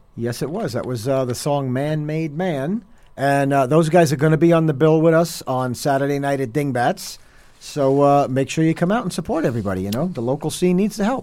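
With a New Jersey accent, a man with a fairly high pitch and a dark, mellow tone talks at a fairly quick pace with ordinary pitch variation. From New Jersey (Hoboken). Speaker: heavy metal drummer. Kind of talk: radio interview.

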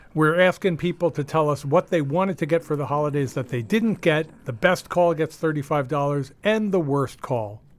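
Lively intonation marks this man's speech. He uses a normal speaking voice pitched fairly high. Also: very clean recording, silent background. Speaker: radio host. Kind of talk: casual banter on a radio show. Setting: studio.

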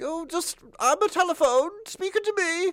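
A put-on character voice at an extremely high pitch moves along at a moderate pace.

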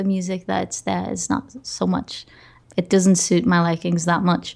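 This woman speaks at a medium pitch with a Portuguese accent. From Portugal. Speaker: podcaster and music curator. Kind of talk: interview.

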